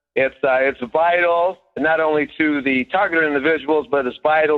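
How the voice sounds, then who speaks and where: This man's voice sits fairly high, with fairly even intonation. It is an unremarkable speaking voice. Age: 60s. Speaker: caller. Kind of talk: testimony. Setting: phone call.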